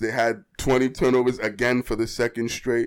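A man talks in a monotone with flat intonation on a very clean recording with a silent background. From Boston. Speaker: sports podcast co-host. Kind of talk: casual chat.

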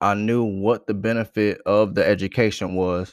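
At a moderate pace, a man speaks with a fairly low pitch and monotone, flat intonation. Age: 30s. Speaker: podcast host, military veteran. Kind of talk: casual monologue. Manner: casual, conversational.

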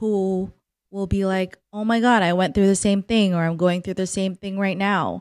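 A woman's medium-pitched voice, with fairly even intonation, comes through a dry, close sound with no echo on a very clean recording with a silent background. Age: 30s. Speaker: podcast host. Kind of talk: solo personal podcast monologue. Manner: casual, laughing.

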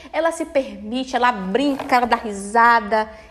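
A woman talks at a moderate pace in an animated tone. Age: 30s. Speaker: podcast host. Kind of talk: solo talk, informal self-help lecture.

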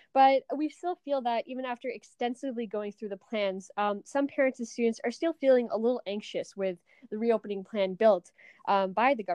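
This woman has an unremarkable speaking voice with a fairly high pitch. She talks at a fairly quick pace with lively intonation. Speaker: podcast host. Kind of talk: interview.

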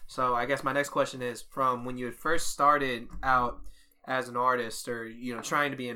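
This man has a plain, everyday voice and a medium pitch. He keeps a moderate pace with fairly even intonation. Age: 20s. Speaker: comedian and podcast host. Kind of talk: casual chat.

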